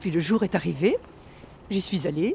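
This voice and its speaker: A woman speaks at a medium pitch with a somewhat breathy voice and lively intonation. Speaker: amateur actor. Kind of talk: guided walk; interview.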